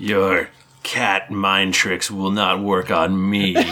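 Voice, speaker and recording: A man's put-on character voice, raspy and growling, with monotone, flat intonation at a very slow pace. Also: fairly low pitch for a man. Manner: growling, menacing.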